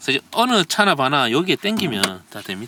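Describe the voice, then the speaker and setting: Very fast speech with a bright, sharp tone, vocal fry, and very wide pitch swings. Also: man. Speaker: car reviewer. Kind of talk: car review walkaround. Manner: casual, conversational.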